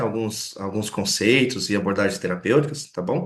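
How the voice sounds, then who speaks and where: Audible room echo and noticeable background noise around a male speaker. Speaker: lecturer. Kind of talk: lecture. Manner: fast.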